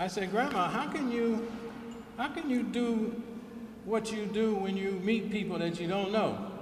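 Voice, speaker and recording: Over noticeable background noise and audible room echo, a man with an American accent talks at a moderate pace in a high voice. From US South, Alabama. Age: 70s. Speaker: keynote speaker. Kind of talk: speech at a ceremony.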